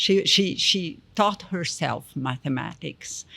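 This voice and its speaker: A woman at medium pitch with a French accent, speaking at a very slow pace. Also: very clean recording, silent background. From Brazil. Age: 60s. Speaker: education policy expert. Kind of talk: interview. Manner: halting.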